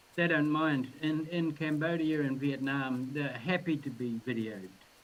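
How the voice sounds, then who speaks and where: Speaking fairly slowly with a New Zealand accent, a man uses a fairly high pitch and ordinary pitch variation. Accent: New Zealand accent, heard as Australian. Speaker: filmmaker. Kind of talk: casual chat.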